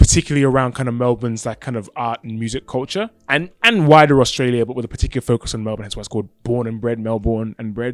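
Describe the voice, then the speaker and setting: A man with an English accent talks very fast in a medium pitch. His loudness swings widely. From England. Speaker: podcast and radio host, rapper, videographer. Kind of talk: casual interview chat. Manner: stutters when speaking fast or excited; halting, many fillers.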